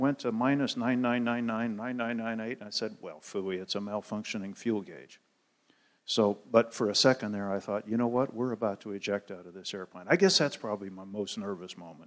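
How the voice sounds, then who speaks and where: This man has an ordinary speaking voice at medium pitch. He keeps a moderate pace on a very clean recording with a silent background. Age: 60s. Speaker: astronaut and former fighter pilot. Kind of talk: audience Q&A. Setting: theater with audience.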